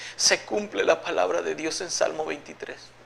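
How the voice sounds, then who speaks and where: Male speech at a moderate tempo, backed by noticeable background noise. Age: 60s. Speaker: evangelical believer giving testimony. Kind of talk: religious testimony.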